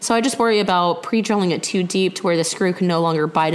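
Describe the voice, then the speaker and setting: Someone with an American accent talks at a very fast pace with ordinary pitch variation. Noticeable background noise runs underneath. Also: woman. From US South, Texas. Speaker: podcast co-host, woodworker. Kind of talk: casual chat.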